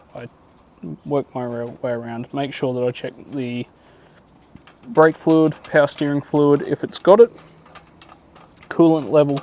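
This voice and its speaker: A soft-spoken man with a fairly high pitch talks at a fairly slow pace, with big swings in loudness and long, frequent pauses. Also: ordinary pitch variation. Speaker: mechanic. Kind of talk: tutorial.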